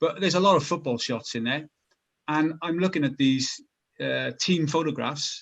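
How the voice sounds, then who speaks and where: The voice has vocal fry and ordinary pitch variation. It moves at a moderate pace. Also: man, fairly high pitch for a man. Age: 60s. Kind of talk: panel discussion.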